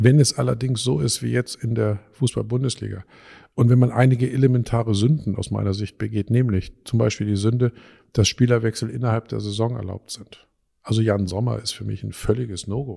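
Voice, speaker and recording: A man with a medium-pitched, somewhat breathy voice and a dark, mellow tone talks at a fairly quick pace with fairly even intonation, on a very clean recording with a silent background. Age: 50s. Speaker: physicist and university president. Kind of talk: interview. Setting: office with strong echo. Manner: halting.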